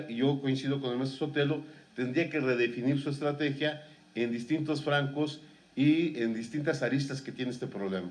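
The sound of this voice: With audible room echo, a man speaks at a medium pitch and a moderate pace, his intonation fairly even.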